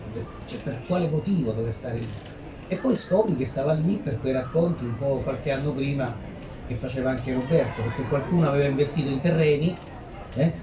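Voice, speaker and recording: Audible room echo surrounds a man speaking at a fairly quick pace with ordinary pitch variation. Long, frequent pauses break up his speech. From Ladispoli, Lazio, central Italy. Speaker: author and researcher. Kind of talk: book presentation talk. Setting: live audience presentation. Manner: fast; halting, with repetitions.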